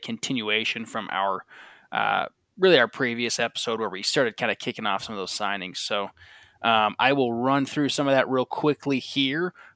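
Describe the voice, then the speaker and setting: On a very clean recording with a silent background and a dry, close sound with no echo, a man talks at a moderate pace in a medium-pitched, bright, sharp voice with lively intonation. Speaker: podcast host. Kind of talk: casual chat.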